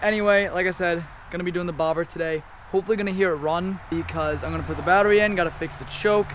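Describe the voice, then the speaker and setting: A man with a high voice talks very fast in a fairly even tone, with noticeable noise in the background. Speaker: car and motorcycle youtuber. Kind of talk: casual video vlog.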